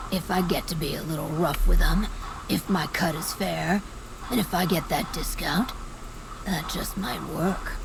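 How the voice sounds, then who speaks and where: Over loud background noise, a put-on character voice at a middle pitch goes at a moderate pace. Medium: video game. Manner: gruff, blunt.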